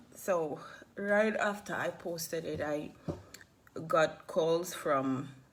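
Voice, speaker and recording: A woman talks at a very slow pace with long, frequent pauses and ordinary pitch variation. The room echo is audible. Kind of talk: personal testimony video. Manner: halting.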